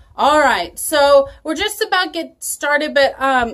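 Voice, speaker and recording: Very wide pitch swings mark this woman's speech. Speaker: children's church teacher. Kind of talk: children's Bible lesson video. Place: home room. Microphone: phone near.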